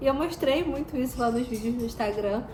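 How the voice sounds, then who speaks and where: A high-pitched woman's voice with ordinary pitch variation, audible room echo and noticeable background noise. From Brazil. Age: 20s. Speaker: vlogger. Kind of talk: vlog.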